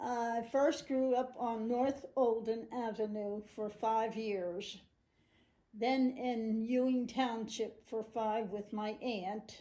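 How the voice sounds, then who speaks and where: Very slowly and with fairly even intonation, a woman with an American accent speaks at a fairly high pitch in a dark, mellow tone. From New Jersey, Trenton area (US). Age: 90s. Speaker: great-grandmother interviewee. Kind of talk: family interview. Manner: halting, with hesitations.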